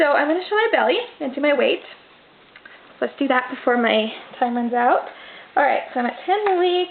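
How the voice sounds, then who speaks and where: Loud and high in pitch, a woman talks at a moderate pace with very wide pitch swings and long, frequent pauses. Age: 20s. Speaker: vlogger. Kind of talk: casual vlog monologue. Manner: trying to speak louder.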